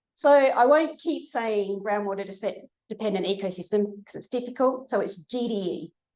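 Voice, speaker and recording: A woman speaks in an Australian accent with a fairly high pitch. Her intonation is lively and her pace moderate. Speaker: research scientist giving a seminar. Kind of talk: lecture. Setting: lecture room with audience.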